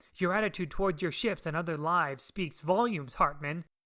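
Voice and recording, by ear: A put-on character voice at a middle pitch delivers lines at a fairly quick pace.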